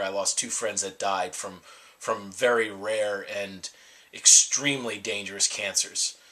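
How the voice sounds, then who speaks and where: A man's intonation stays fairly even while noticeable noise sounds in the background. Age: 30s. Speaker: cancer survivor. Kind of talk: interview testimony. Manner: halting, many repetitions and fillers.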